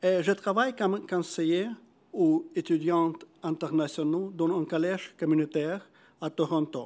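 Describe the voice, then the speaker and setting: With a Russian accent, a man speaks at a fairly slow pace in a high pitch with ordinary pitch variation, captured in a very clean recording with a silent background. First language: Russian (speaking French). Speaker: researcher and student advisor. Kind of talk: conference presentation. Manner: reading from notes.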